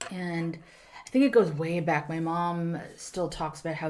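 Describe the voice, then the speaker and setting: A woman speaks in a fairly low pitch, with audible room echo in the recording. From South Korea, Busan. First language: Korean. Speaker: actor, writer and stand-up comedian. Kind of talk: casual podcast interview. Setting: studio room.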